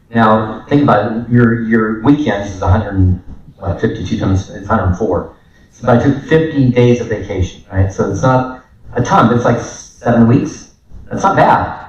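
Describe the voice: A man with a fairly low pitch talks at a moderate pace with ordinary pitch variation, and audible room echo surrounds him.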